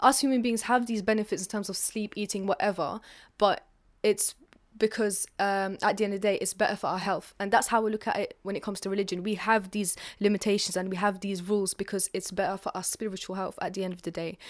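A woman with a London accent talks very fast at a medium pitch, her intonation monotone and flat. The recording is very clean, with a silent background. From North London. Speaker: writer and performer. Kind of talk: interview. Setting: apartment in London.

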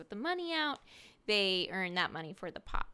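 A woman's unremarkable speaking voice at medium pitch, lively intonation, very clean recording with a silent background. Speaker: podcast co-host recapping reality TV. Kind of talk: casual recap chat.

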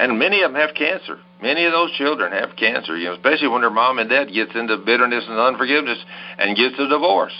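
A man at medium pitch talking at a very fast pace over music in the background. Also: lively intonation. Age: 70s. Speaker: pastor and healing evangelist. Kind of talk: religious teaching interview.

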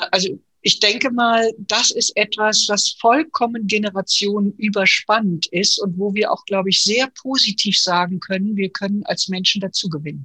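A woman talks at a moderate pace with hardly any pauses, in an unremarkable speaking voice at medium pitch. Her pitch varies in an ordinary way, and the sound is dry and close with no echo. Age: 60s. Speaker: podcast host and transformation consultant. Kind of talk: casual discussion. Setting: video call.

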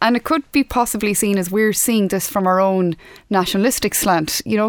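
A woman with an Irish accent speaks at a moderate pace and fairly high pitch in a very clean recording with a silent background. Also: dry, close sound with no echo. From Ireland. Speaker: podcast host. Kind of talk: interview. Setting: studio.

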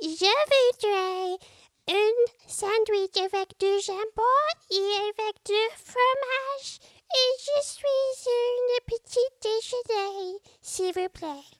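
An extremely high, put-on character voice speaks at a very slow pace. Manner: polite, ordering food.

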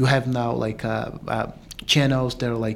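Fairly quick, fairly evenly intoned speech from a man. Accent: Portuguese. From Brazil. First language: Portuguese. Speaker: filmmaker. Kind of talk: panel interview.

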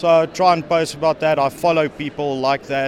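A man's voice with fairly even intonation against noticeable background noise. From South Africa. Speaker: network engineer. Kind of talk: interview. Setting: conference venue. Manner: halting, many fillers.

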